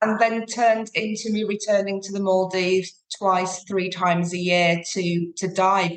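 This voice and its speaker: A woman's medium-pitched voice with a British accent, monotone and flat, at a moderate pace with hardly any pauses. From UK. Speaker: sustainable tour operator. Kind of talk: podcast interview.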